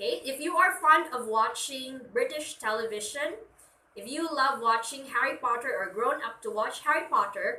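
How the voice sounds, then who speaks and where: Raising and projecting her voice, a woman with a Filipino accent speaks at high pitch with lively intonation. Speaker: teacher. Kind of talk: lecture.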